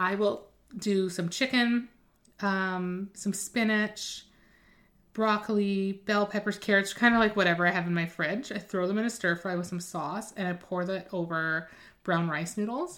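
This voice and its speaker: In a very clean recording with a silent background, a woman with a plain, everyday voice speaks at a moderate pace and medium pitch. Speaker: nutrition coach podcast host. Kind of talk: solo podcast episode, informative talk. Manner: casual, upbeat.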